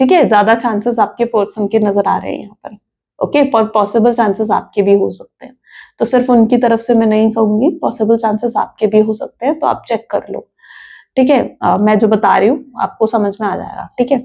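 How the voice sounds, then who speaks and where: Fairly high in pitch, a woman's voice has a dark, mellow tone and fairly even intonation. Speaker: tarot reader. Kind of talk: tarot reading monologue. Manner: conversational, Hindi-English code-switching.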